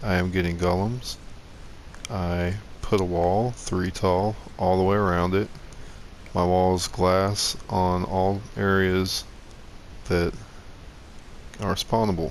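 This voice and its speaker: Over audible room echo, a man speaks very slowly in a very deep, low, monotone voice with flat intonation, very even loudness, and long, frequent pauses. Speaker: gaming YouTuber. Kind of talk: tutorial.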